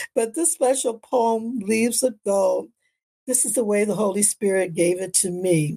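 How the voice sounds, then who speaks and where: A woman with an American accent speaks at a very slow pace. Her dark, mellow tone is somewhat breathy. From Canada and US. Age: 80s+. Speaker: minister and life coach podcaster. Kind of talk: inspirational monologue.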